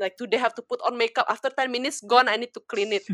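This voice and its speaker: In a very clean recording with a silent background, a woman speaks in a bright, sharp tone with ordinary pitch variation and a dry, close sound with no echo. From Indonesia, Jakarta. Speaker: makeup artist and influencer. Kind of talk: casual chat.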